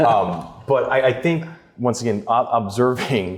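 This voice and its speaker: A man with a medium pitch has a plain, everyday voice. He talks at a moderate pace with lively intonation. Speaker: adjunct professor in sustainability, ex-stock exchange. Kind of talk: panel discussion webinar.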